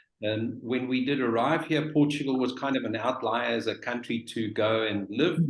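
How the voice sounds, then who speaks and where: Over noticeable background noise, a man with a South African accent speaks at a moderate pace. His pitch is medium, with ordinary pitch variation. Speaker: real estate professional. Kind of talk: webinar panel talk.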